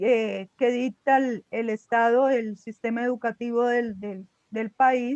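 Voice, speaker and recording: A woman speaks very slowly in a flat, monotone delivery at a fairly high pitch. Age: 60s. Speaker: student in an online class. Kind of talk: class discussion.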